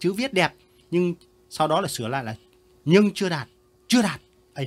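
A man speaks with a high pitch. His tone is animated and his intonation lively. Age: 70s. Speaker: retired teacher reviewing pupils' essays. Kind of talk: casual commentary reading out pupils' work. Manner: animated, laughing.

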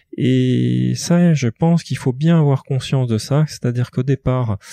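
Against a quiet background, a man speaks with a dark, mellow tone at medium pitch. His pitch variation is ordinary, and the sound is dry and close with no echo. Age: 40s. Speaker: business executive. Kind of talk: interview.

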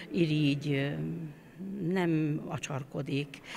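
Against light background noise, a woman talks at a very slow pace with a very deep, low pitch and ordinary pitch variation. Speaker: choir conductor. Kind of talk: interview. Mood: warm, reflective. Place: church. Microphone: handheld.

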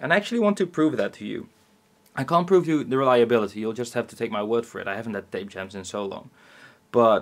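A man talks at a very fast pace, his loudness swinging a lot and his pitch ranging very widely. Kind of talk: casual explanatory demo talk. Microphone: camera far.

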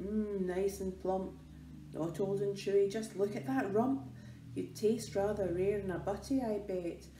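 Growling in a put-on character voice at middle pitch, the speaker moves at a moderate pace over clear background noise. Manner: snarling, menacing, hungry.

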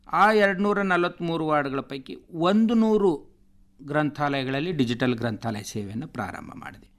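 A man's voice with very wide pitch swings and big swings in loudness. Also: fairly high pitch for a man, very clean recording, silent background. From north Karnataka, India (Bidar district, Basavakalyan taluk village). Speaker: government library official. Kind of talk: radio interview.

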